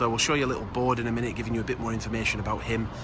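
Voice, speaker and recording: There is noticeable background noise behind this voice. A man talks in a relaxed tone. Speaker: travel vlogger. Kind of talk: casual talk to camera. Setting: outdoors. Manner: relaxed, hesitant with fillers.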